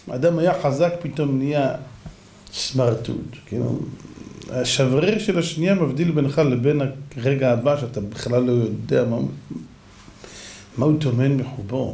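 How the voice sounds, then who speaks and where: A man speaks with ordinary pitch variation and long, frequent pauses. Room echo is audible. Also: fairly slow pace. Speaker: religious teacher. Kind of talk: sermon.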